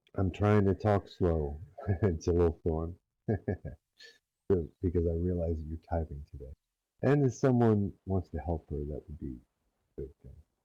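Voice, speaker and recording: In a very deep, low pitch, a man speaks fairly slowly with a dark, mellow, somewhat breathy tone, ordinary pitch variation and big swings in loudness. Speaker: roleplay community leader. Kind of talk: lecture. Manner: hesitant, many fillers.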